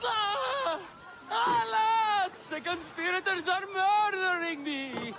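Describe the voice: A man puts on a character voice at an extremely high pitch, bright and sharp in tone with vocal fry. He talks at a slow pace over faint crowd noise in the background. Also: ordinary pitch variation.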